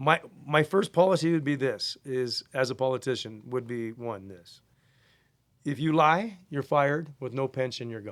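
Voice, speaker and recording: In a very clean recording with a silent background, a man talks in an unremarkable speaking voice at a medium pitch and moderate pace, with ordinary pitch variation and big swings in loudness. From Canada. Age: 60s. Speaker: golf caddy. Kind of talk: casual chat.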